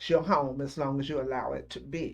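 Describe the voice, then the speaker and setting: Against a quiet background, a woman speaks at a moderate pace with a Southern US accent. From Celina, Tennessee. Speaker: grandmother. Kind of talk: oral history interview answer.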